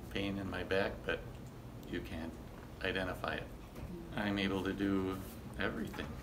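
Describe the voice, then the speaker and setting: A soft-spoken man talks with a very deep, low pitch. Noticeable background noise runs behind him. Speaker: chiropractic clinic patient giving a testimonial. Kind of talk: testimonial interview answer. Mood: soft spoken, grateful. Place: office. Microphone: phone near.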